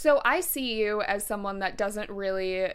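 With a plain, everyday voice, a woman speaks at a moderate pace and a fairly high pitch. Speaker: podcast host. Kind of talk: casual interview chat.

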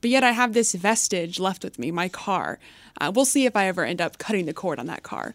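A woman with an American accent and an unremarkable speaking voice, medium-pitched, fairly quick, with lively intonation, on a very clean recording with a silent background. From US South, Texas (McKinney, Dallas suburb). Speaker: stock analyst, game show contestant. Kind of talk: casual game show banter.

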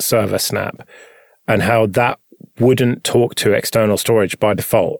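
In a dry, close sound with no echo, a man with a normal speaking voice and medium pitch talks at a fairly slow pace.

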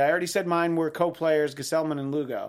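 A high-pitched man at a fairly quick pace. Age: 40s. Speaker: sports podcast host. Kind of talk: casual sports talk show.

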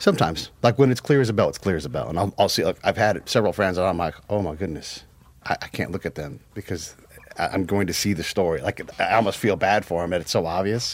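This man talks very fast, his pitch fairly low. Its variation is ordinary. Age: 40s. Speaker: former military counterintelligence agent. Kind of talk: casual chat.

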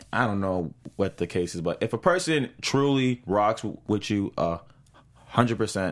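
This man speaks with an American accent at a moderate pace and fairly low pitch, with lively intonation in a very clean recording with a silent background. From Boston, US New England. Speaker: TV after-show co-host. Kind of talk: casual chat. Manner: animated.

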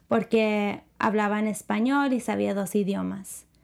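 Recorded very cleanly against a silent background, a woman with a fairly high pitch speaks fairly slowly with ordinary pitch variation in an ordinary speaking voice. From United States, Spanish-speaking family. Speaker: entertainment show co-host. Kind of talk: casual chat.

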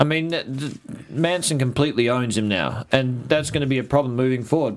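A man speaks in an Australian accent with lively intonation. His pitch sits in the medium range. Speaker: TV aftershow host. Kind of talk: casual chat.

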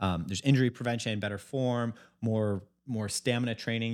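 Fairly low and fairly quick, a man's unremarkable speaking voice keeps fairly even intonation in a very clean recording with a silent background. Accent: American. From US Midwest, Chicago. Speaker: health company founder. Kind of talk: casual interview chat. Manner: casual, many filler likes.

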